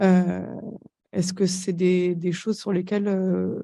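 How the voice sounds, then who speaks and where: A woman speaks at a fairly slow pace with a medium pitch. Her tone is dark and mellow. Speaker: audience member. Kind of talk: audience question. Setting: conference room with audience. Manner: halting.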